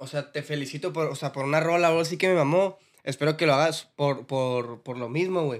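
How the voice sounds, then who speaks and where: The man has an ordinary speaking voice, pitched fairly high with ordinary pitch variation. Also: fairly quick pace, very clean recording, silent background. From Mexicali, Baja California. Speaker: rapper. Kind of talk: casual chat.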